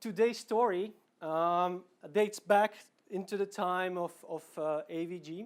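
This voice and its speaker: A man's high-pitched voice with a Slovak accent and ordinary pitch variation, on a very clean recording against a silent background. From Slovakia, Bratislava. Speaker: product manager, conference speaker. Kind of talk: conference talk. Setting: stage with audience. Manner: casual, with fillers and repetitions.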